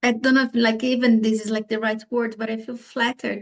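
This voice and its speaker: A woman with a non-native accent speaks at fairly high pitch in a monotone, flat intonation. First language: not English. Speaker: bereaved parent. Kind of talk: video call conversation. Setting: video call. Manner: halting.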